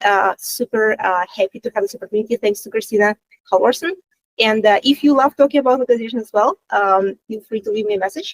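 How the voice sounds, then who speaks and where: Speaking very fast in a fairly high pitch with a non-native accent, a woman swings widely in loudness, recorded with a dry, close sound and no echo. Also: ordinary pitch variation. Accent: non-native English speaker. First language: Russian. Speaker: content design lead. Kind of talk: panel self-introduction. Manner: hesitant, many fillers.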